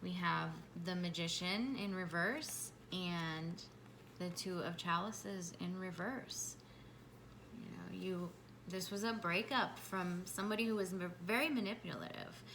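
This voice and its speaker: A woman talks at a fairly slow pace with a bright, sharp tone, medium pitch and ordinary pitch variation. Room echo is audible. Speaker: tarot reader. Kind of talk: tarot reading to camera. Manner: halting.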